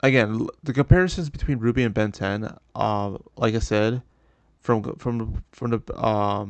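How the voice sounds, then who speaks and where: A mumbling man talks at a medium pitch with ordinary pitch variation, in a dry, close recording with no echo and a quiet background. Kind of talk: casual commentary rant. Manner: hesitant, halting, many pauses and mumbles.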